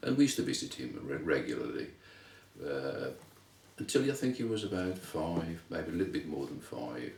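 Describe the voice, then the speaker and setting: A man at a moderate pace amid noticeable background noise and audible room echo. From England, Wolverhampton (West Midlands). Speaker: interviewee, son of Lithuanian immigrants. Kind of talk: interview, life story. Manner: halting, many fillers and repeats.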